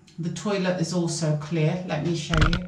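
Audible echo from the room surrounds a woman as she talks. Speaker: cleaning vlogger. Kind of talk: casual vlog chat. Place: bathroom.

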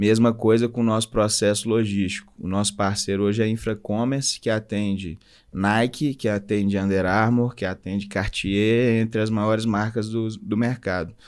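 On a very clean recording with a silent background, a man of fairly low pitch speaks in a monotone, flat intonation at a moderate pace with hardly any pauses. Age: 30s. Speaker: entrepreneur, clothing brand co-founder. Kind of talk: casual interview.

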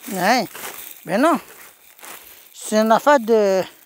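A man with a Quebec accent speaks at a high pitch with lively intonation. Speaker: YouTuber scavenging a dump. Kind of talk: vlog narration.

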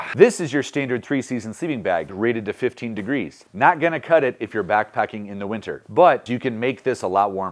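A man at a fairly quick pace, with very wide pitch swings, against a quiet background. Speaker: outdoor gear reviewer. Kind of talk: tutorial. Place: home room.

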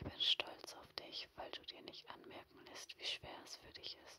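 Whispering at a fairly slow pace, the voice carries a soothing, warm tone. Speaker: ASMR video creator. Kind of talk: ASMR personal attention, guided relaxation. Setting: headphones-oriented home recording, no camera. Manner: soft, slow, soothing, reassuring; intimate, warm, directly addressing the listener.

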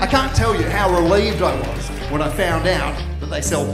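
Speech from a man, with clear music playing behind. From Australia. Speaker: stand-up comedian. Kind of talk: stand-up comedy set. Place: stage. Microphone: handheld.

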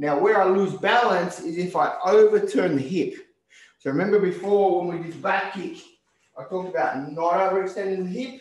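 A man with a high pitch speaks at a moderate pace with ordinary pitch variation, and audible room echo can be heard. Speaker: karate instructor. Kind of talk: tutorial. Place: gym. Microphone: video call.

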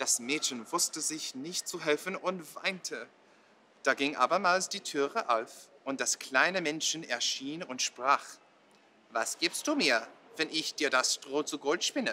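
A man's bright, sharp voice, fairly high in pitch, with ordinary pitch variation, a very slow pace and light background noise. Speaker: storyteller. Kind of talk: bedtime story telling, calm and measured, in a soothing storyteller's cadence. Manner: slow, gentle, expressive storybook delivery with a hush on the dramatic parts; friendly and casual in the English intro and summary. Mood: calm, storytelling tone. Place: hall.

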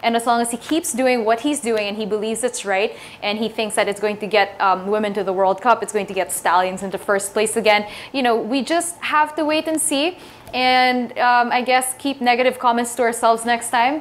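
This woman uses a normal speaking voice, moving fairly quickly, with ordinary pitch variation. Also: fairly high pitch for a woman. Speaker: sports talk show host. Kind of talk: casual interview. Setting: studio. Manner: casual, chatty. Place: studio. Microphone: lapel.

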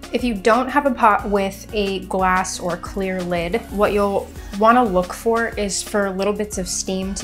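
Over clear music in the background, a woman speaks with fairly even intonation. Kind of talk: tutorial. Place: kitchen.

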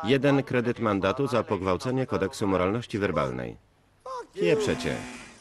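Noticeable background noise sits behind a man's voice. He speaks at a moderate pace with a fairly low pitch. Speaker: Polish film voice-over reader (lektor). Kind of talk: single-voice film translation read over the original soundtrack.

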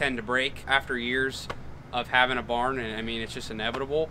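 A man talks at moderate speed while light noise sits in the background. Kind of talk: tour explanation. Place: farm machine.

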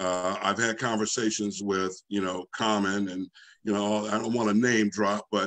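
An unremarkable speaking voice moves at a moderate pace with fairly even intonation against a quiet background. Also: man. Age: 60s. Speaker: business federation institute president; guest. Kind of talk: online panel discussion. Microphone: video call.

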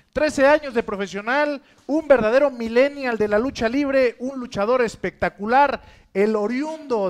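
This man speaks with a Mexican accent at an extremely high pitch. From Mexico. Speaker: reality show host / presenter. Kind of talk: wrestling-event presenter, hyped emcee announcing. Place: studio.

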